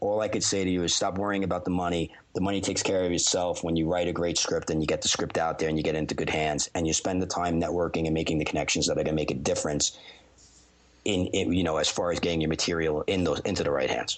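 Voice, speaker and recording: Over noticeable background noise, a man with a very deep, low voice talks very fast, his intonation fairly even and his loudness very even. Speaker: podcast guest, former sports radio host.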